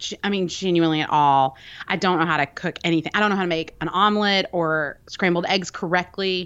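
Over a quiet background, a woman with a Southern US accent speaks at a fairly low pitch with fairly even intonation. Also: fairly quick pace. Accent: Southern American. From US South, Birmingham, Alabama. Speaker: podcaster and cake pop baker. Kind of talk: casual chat.

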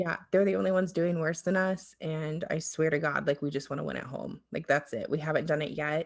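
With an American accent, a woman speaks at a very deep, low pitch and a moderate pace, with vocal fry. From US South, southern Alabama. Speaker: soccer podcast host. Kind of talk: casual chat.

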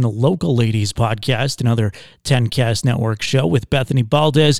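At a moderate pace, a man talks in an ordinary speaking voice. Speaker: network announcer introducing the bonus episode. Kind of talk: podcast intro and announcements.

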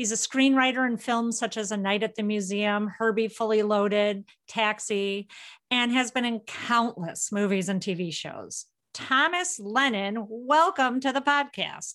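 Against a quiet background, a woman speaks at a fairly slow pace. Her pitch is fairly high, with ordinary variation. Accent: Midwestern American. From Illinois. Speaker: podcast host. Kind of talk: casual chat; scripted intro and outro.

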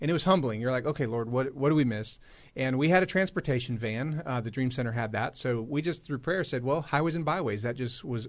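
Against a quiet background, a man with an American accent has a normal speaking voice in a medium pitch with ordinary pitch variation. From US West Coast, Los Angeles. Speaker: pastor running a community ministry. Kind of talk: radio interview. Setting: studio.

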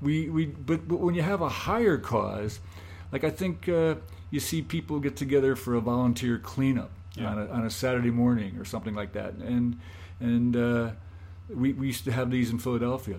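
With an American accent, a man talks at a fairly quick pace in an unremarkable speaking voice of medium pitch with lively intonation. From Scranton, Pennsylvania. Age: 60s. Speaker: solar hot water business owner. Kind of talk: casual interview conversation.

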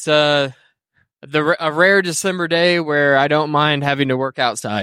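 With an American accent and a bright, sharp tone, a man speaks at a fairly high pitch and a moderate pace with ordinary pitch variation, in a very clean recording with a silent background. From Indiana. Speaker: podcast co-host. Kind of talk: casual chat. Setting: outdoors.

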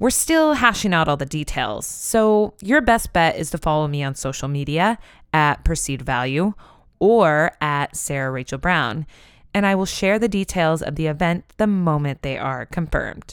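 A woman speaks with lively intonation. Her pitch is very deep and low. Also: moderate pace. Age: 30s. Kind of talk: casual interview. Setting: recorded at a symposium in North Carolina.

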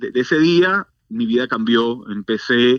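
The sound is dry and close, without any echo. A man talks very slowly. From Venezuela. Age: 40s. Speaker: church outreach director. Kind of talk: testimony.

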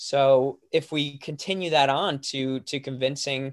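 A man talks in a plain, everyday voice. His pitch is medium and his intonation fairly even. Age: young. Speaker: author and speaker. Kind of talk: interview.

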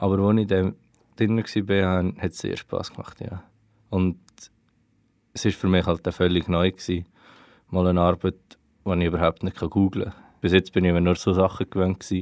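At a moderate pace with long, frequent pauses, a man speaks in a very deep, low voice with monotone, flat intonation, recorded very cleanly against a silent background with a dry, close sound and no echo. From Switzerland, Aargau (Wohlen). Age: 20s. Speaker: student researching family history. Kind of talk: interview.

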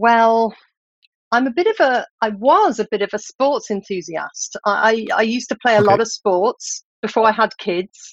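A woman with a British accent at a moderate pace, ordinary pitch variation, dry, close sound with no echo. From UK. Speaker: scientific writer. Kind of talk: interview.

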